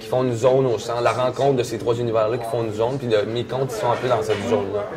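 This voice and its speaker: With a Quebec accent, a man speaks at a fairly quick pace and medium pitch. His intonation is fairly even, and background noise is noticeable. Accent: Québécois French. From Quebec, Canada. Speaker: storyteller. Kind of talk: interview answer. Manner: casual, colloquial.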